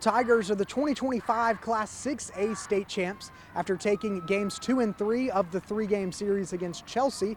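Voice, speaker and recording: In an American accent, a man with a high pitch and ordinary pitch variation speaks at a moderate pace over noticeable background noise. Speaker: sports reporter / anchor. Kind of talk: news package voiceover and on-camera reporting.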